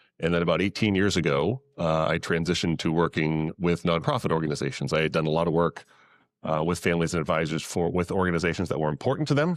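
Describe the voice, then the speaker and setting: In a New England accent, the words come at a very fast pace with ordinary pitch variation and very even loudness, on a very clean recording with a silent background. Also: man, very deep, low pitch for a man. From New England, Massachusetts. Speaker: investment advisor to nonprofits. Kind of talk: panel talk to live audience.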